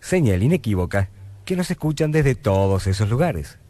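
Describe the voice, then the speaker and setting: Faint music plays in the background as a man speaks at a moderate pace, somewhat breathy and dark and mellow in tone, with very wide pitch swings. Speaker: radio announcer. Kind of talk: scripted radio anniversary narration. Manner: humorous. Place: studio. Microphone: old recording.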